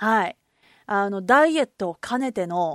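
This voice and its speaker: A woman speaks at a moderate pace and medium pitch, with lively intonation. The recording is very clean, with a silent background and a dry, close sound with no echo. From Kobe, Japan. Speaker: podcast host. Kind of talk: casual solo talk. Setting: recording alone at home.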